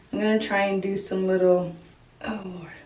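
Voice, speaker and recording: Audible room echo on a woman's fairly slow speech. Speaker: lifestyle vlogger and stay-at-home mother. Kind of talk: casual get-ready-with-me chat. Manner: animated.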